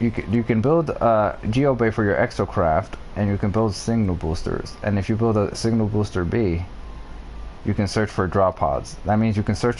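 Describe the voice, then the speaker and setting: A man speaks at a fairly low pitch with very even loudness. Noticeable background noise runs underneath. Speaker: video game streamer. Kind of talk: live gameplay stream, answering chat. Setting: live stream. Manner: fast.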